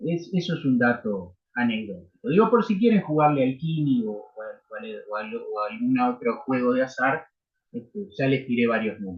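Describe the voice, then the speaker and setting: A somewhat breathy man with a Uruguayan accent, at a moderate pace, his pitch swinging very widely. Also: medium pitch for a man, big swings in loudness. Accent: Rioplatense Spanish (Uruguayan). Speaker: university law lecturer. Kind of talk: lecture. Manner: animated.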